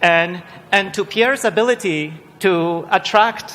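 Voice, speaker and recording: Using ordinary pitch variation, a man with a Polish accent speaks at a high pitch in a bright, sharp tone. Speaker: panel chair, research director. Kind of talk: panel moderation. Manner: halting, many repetitions.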